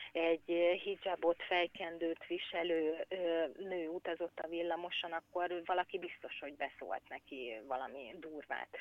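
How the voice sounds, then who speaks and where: A woman's fairly low voice moves along at a fairly slow pace. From Hungary. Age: 40s. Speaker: emigrant mother. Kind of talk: interview. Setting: phone call. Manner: halting, many repetitions.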